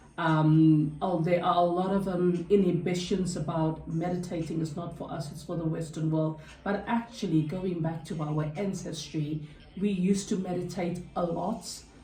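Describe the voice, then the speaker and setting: A woman with a South African accent speaks at a moderate pace with a fairly low pitch. Noticeable background noise and audible room echo are present. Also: fairly even intonation. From South Africa, Cape Town. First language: Afrikaans. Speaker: health and wellbeing chat host. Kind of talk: casual chat.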